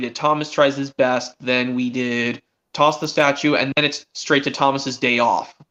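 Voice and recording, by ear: A man's bright, sharp tone at medium pitch, fairly even intonation and a moderate pace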